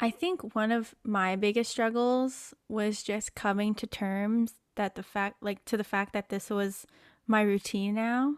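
A woman with an unremarkable speaking voice talks fairly slowly at a fairly high pitch. Her intonation is fairly even, and the sound is dry and close with no echo. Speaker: podcast host. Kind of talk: casual chat. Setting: video call.

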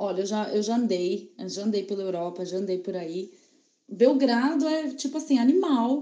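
There is audible room echo as a woman speaks at a medium pitch and moderate pace. Her tone is dark and mellow, and her intonation is lively. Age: 30s. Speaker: advertising professional, traveler. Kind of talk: casual chat, separately recorded.

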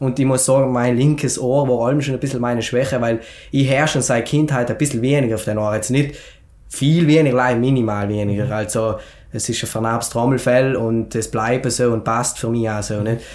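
A man talks at a fairly quick pace in a normal speaking voice, pitched at a medium level. His intonation stays fairly even. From South Tyrol, Schnals valley. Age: 20s. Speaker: entrepreneur and fitness author. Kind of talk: podcast interview, personal story. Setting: studio, sitting together in person.

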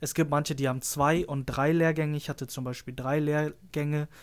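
A man with an ordinary speaking voice, pitched fairly high, talks at a moderate pace with fairly even intonation on a very clean recording with a silent background. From northern Germany, Lüneburg. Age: 20s. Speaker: trainee photographer. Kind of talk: casual chat.

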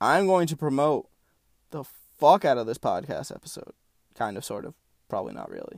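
A man with vocal fry talks at a fairly quick pace in a fairly high pitch, with very wide pitch swings, big swings in loudness and long, frequent pauses. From Puerto Rican heritage. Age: 20s. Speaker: podcast host. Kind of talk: casual monologue. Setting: sitting in a closet. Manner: animated.

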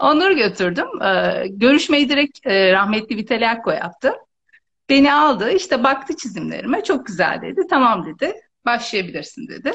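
Speaking at a moderate pace with very even loudness, a woman uses a high pitch with very wide pitch swings. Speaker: visual merchandising trainer and consultant. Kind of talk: casual interview.

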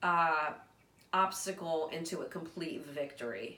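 A woman speaks fairly slowly, her voice carrying audible room echo amid noticeable background noise. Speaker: podcast host. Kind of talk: casual chat.

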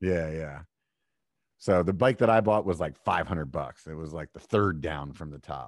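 A man with an American accent speaks at a very deep, low pitch with vocal fry, ordinary pitch variation and big swings in loudness. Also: moderate pace. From Pennsylvania, York. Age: 40s. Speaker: mountain bike podcaster. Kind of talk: casual chat.

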